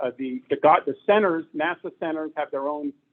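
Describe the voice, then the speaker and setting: This is a man speaking. His pitch sits fairly high for a man. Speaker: amateur radio club president. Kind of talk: meeting talk. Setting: meeting room with audience, no microphone.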